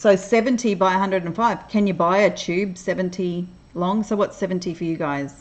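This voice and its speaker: With an Australian accent and a relaxed tone, a woman talks at a moderate pace with ordinary pitch variation. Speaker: crafting livestreamer. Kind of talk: casual chat. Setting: livestream. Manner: relaxed, hesitant with fillers.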